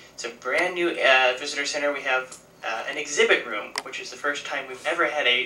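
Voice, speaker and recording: With an American accent, a man talks at a fairly quick pace and a fairly high pitch with ordinary variation, amid noticeable background noise and audible room echo. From Missouri, US Midwest. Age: 20s. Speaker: park interpreter, historian. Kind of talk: public talk.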